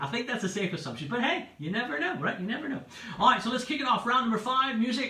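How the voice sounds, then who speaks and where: Raising and projecting his voice, a man talks very fast amid noticeable background noise and audible room echo. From California and Hawaii, US. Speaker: DJ and pub quiz host. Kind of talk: livestream quiz hosting. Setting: Facebook livestream. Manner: animated, chatty.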